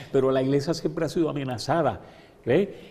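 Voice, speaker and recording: This man talks at a fairly quick pace with a medium pitch and vocal fry. His tone is dark and mellow. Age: 70s. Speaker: bishop. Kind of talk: interview. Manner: halting, repeats words.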